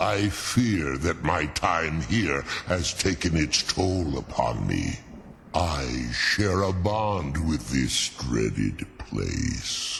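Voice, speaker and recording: Putting on a character voice, a man speaks at a very slow pace in a very deep, low pitch, with clear background noise behind him. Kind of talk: epic fantasy voice acting. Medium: video game. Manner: formal, archaic, measured.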